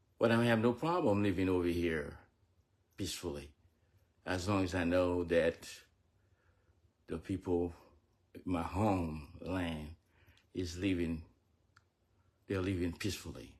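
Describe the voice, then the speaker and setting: With a Haitian accent, a man talks at a fairly slow pace in a very deep, low pitch, with fairly even intonation and long, frequent pauses. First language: Haitian Creole. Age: 70s. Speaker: military veteran and fitness trainer. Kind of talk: personal livestream address. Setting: live video.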